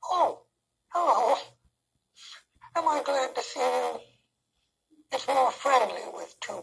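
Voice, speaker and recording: A cartoonish character voice, high and raspy, at a fairly slow pace with long, frequent pauses. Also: female-sounding voice. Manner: soft, slow, hesitant.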